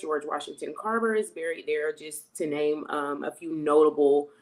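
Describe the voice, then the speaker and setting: A woman with a North Carolina accent and a fairly low pitch. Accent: Southern, North Carolina. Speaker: university alumna, health and fitness coach. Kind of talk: interview.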